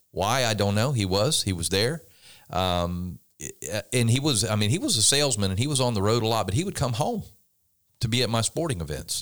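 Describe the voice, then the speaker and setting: A man speaks at a medium pitch and a fairly quick pace, with lively intonation. He leaves long, frequent pauses, and the recording is very clean with a silent background. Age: 60s. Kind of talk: casual chat.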